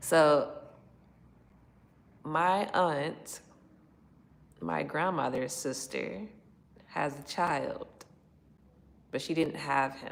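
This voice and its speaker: A woman with a very deep, low voice and vocal fry speaks very slowly with long, frequent pauses and ordinary pitch variation, and room echo is audible. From Chicago. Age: 30s. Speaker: livestreamer. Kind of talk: casual livestream chat.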